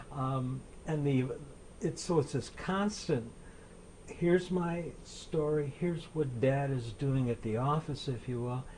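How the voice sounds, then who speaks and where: A man speaks at a fairly slow pace with a fairly high pitch and ordinary pitch variation. His dark, mellow tone is somewhat breathy, with light background noise behind him. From Buffalo, New York; New York. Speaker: author and Civil War historian; guest. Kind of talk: interview about his books. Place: studio. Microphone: lapel.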